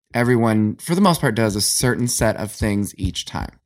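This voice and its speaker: A man with an American accent speaks at a fairly quick pace in a fairly low voice, on a very clean recording with a silent background. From Ohio, US Midwest. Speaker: Satanic Temple member. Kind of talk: casual interview.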